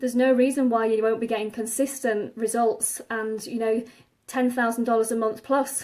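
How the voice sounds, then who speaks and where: With an English accent, a woman speaks at a moderate pace. Her fairly high pitch stays monotone and flat. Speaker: online marketing coach. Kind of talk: live stream talk. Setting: Facebook Live video.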